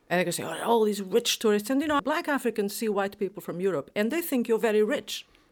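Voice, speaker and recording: A woman at a very fast pace, lively intonation and hardly any pauses. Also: fairly high pitch for a woman, very clean recording, silent background. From Portugal. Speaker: former international radio editor. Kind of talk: panel discussion.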